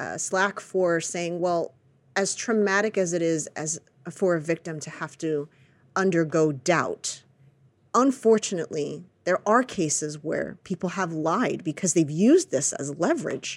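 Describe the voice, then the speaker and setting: A woman speaks fairly slowly in a fairly low voice with an American accent, an unremarkable speaking voice. The recording is very clean, with a silent background. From United States. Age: 40s. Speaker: podcast host and actress. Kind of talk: casual chat.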